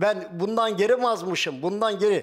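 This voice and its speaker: The man's voice is high in pitch and moves at a moderate pace. Behind him the background is quiet. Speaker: retired farmer, husband of missing woman. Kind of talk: TV talk show testimony. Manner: emotional, repetitive. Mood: upset, defensive, pleading. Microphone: lapel.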